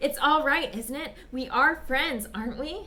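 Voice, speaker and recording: A woman speaks in a raised, projected voice at a high pitch. Her pitch variation is ordinary. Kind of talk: dramatic reading of a short story.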